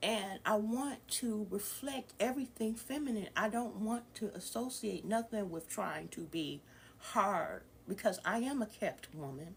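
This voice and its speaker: Her fairly high, somewhat breathy voice moves with lively intonation as the woman talks at a fairly slow pace. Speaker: spiritual vlogger and former dancer. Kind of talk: casual monologue. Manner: halting, with fillers.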